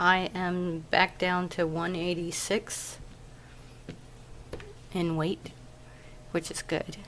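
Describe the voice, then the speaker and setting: A woman's fairly low, monotone, flat voice at a very slow pace, with long, frequent pauses and noticeable background noise. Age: 30s. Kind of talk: casual video diary update.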